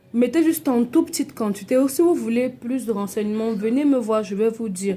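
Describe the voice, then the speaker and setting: A woman speaks with a fairly high pitch and ordinary pitch variation. Noticeable background noise runs under her voice. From Cameroon. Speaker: cosmetics seller. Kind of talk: product tutorial. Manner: animated.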